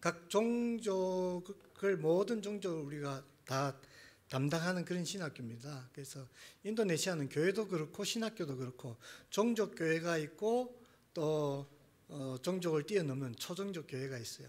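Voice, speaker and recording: A man speaks fairly slowly with a high pitch. His intonation is lively. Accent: strong Gyeongsang. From Gyeongsang, South Korea. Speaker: missionary, seminary teacher. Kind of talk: sermon. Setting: church.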